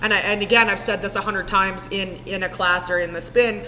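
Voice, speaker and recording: With a Canadian accent, a woman at medium pitch speaks at a fairly quick pace in an animated tone, with audible room echo and noticeable background noise. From Saskatchewan, Canada. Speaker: spin class instructor. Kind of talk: casual chat. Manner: loud.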